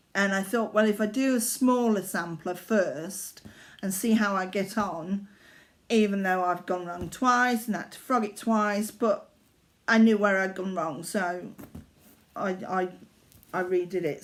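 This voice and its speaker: A woman's fairly slow, fairly even-toned speech with long, frequent pauses, in a very clean recording over a silent background. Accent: Yorkshire. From Yorkshire, northern England. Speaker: cross-stitch vlogger. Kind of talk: casual craft vlog. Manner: halting, many fillers.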